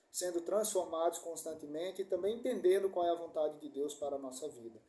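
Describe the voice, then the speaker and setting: The man has a high pitch and a dark, mellow tone. He keeps a moderate pace and fairly even intonation. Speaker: preacher. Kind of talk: sermon.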